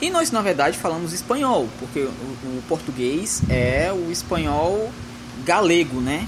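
Speaking at a fairly slow pace, a man with a fairly high pitch uses lively intonation amid noticeable background noise and audible room echo. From Northeast Brazil. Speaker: podcast host, fiction author. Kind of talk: casual chat.

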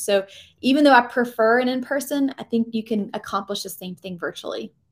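An ordinary speaking voice in an American accent shows ordinary pitch variation on a very clean recording with a silent background. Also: woman. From US South, Georgia. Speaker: career coach and former recruiter. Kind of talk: interview conversation.

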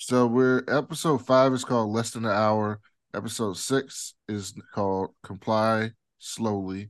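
A man talks with an unremarkable speaking voice at a fairly slow pace. His intonation stays fairly even over a quiet background. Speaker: podcast co-host. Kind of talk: casual chat.

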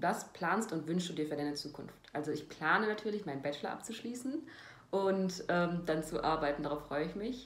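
The speech moves at a fairly quick pace. Audible room echo and noticeable background noise are present. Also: woman. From Germany, North Rhine-Westphalia near Cologne. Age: 20s. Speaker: former reality TV participant. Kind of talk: self-interview answering read-out questions.

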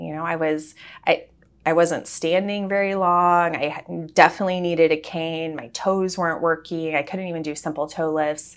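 An ordinary speaking voice at a moderate pace, with fairly even intonation, in a very clean recording with a silent background. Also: woman. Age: 30s. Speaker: cancer survivor. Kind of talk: interview.

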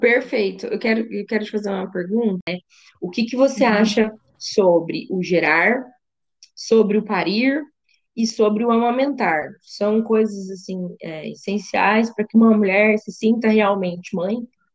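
A woman with an ordinary speaking voice, fairly high in pitch, at a fairly slow pace with ordinary pitch variation. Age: 30s. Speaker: podcast host, psychologist. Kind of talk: casual interview chat.

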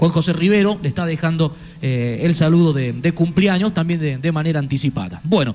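A man speaks at a fairly quick pace in an ordinary speaking voice. His pitch is fairly high, with ordinary pitch variation. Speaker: sports radio host. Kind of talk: radio sports show. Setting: remote broadcast from a sports club.

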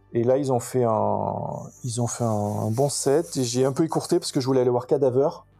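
A man's medium-pitched voice at a moderate pace, fairly even in intonation, with music in the background. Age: 40s. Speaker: metal festival-goer, podcast listener. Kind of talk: casual interview chat. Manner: halting, many fillers and repetitions.

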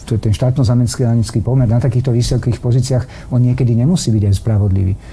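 A man talks in an ordinary speaking voice. He keeps a fairly quick pace with ordinary pitch variation. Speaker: politician, former defence minister. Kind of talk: political interview.

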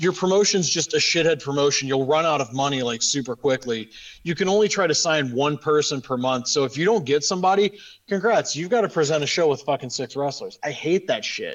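With an American accent, a man speaks at a moderate pace with lively intonation in an unremarkable speaking voice. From Western Ohio. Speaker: podcast host. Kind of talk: casual chat.

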